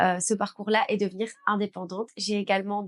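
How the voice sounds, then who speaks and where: The speaker has a Belgian accent and a monotone, flat intonation. The sound is dry and close, with no echo. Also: woman. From Belgium. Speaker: beauty business owner and trainer. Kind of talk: personal story vlog.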